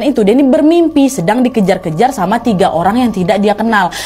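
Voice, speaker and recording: Music plays in the background as a woman with a fairly high pitch speaks at a very fast pace. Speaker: horror storyteller / channel host. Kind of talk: horror story narration with ASMR framing. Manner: casual, chatty storytelling.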